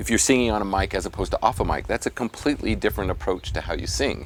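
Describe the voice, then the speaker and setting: A man in an American accent speaks at a very fast pace. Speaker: vocal coach. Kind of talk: interview.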